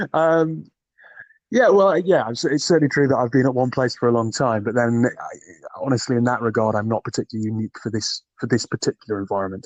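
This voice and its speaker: Talking at a very fast pace, a man with a Geordie accent uses lively intonation. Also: medium pitch for a man. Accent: soft Geordie. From northern England, Newcastle. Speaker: recruiter and podcaster. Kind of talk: interview conversation. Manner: hesitant, many fillers.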